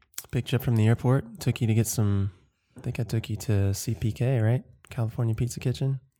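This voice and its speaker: A man with an American accent, very fast, medium in pitch, somewhat breathy, dark and mellow in tone, with fairly even intonation. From US South, Georgia (Watkinsville near Athens). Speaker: podcast co-host. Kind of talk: casual chat.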